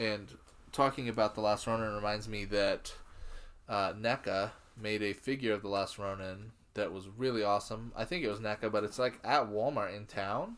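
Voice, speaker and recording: Fairly quick in pace, a man speaks with a fairly low pitch and fairly even intonation. It is a plain, everyday voice. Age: 30s. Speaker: podcast co-host. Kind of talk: casual chat.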